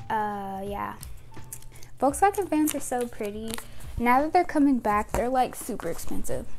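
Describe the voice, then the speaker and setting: Over music in the background, a woman with a high pitch speaks at a moderate pace. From United States. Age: 20s. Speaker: YouTuber. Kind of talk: casual vlog talking to camera. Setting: at home with a microphone. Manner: rambling, chatty. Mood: relaxed, chatty. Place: home room. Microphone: lapel.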